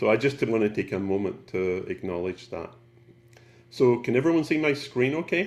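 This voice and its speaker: A man speaks with a Scottish accent. His pitch swings very widely. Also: medium pitch for a man, moderate pace. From Scotland, Glasgow. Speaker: photographer. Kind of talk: presentation.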